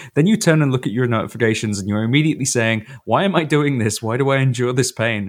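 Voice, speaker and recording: At a very fast pace with hardly any pauses, a man with a British accent speaks at a medium pitch with ordinary pitch variation, in a very clean recording with a silent background. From Britain. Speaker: podcast co-host. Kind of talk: casual chat.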